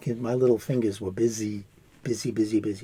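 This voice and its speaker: A man with an American accent speaks at a fairly quick pace in a medium pitch, his dark, mellow tone somewhat breathy. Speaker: crochet artist. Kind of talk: crafting tutorial. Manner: casual, hesitant with fillers.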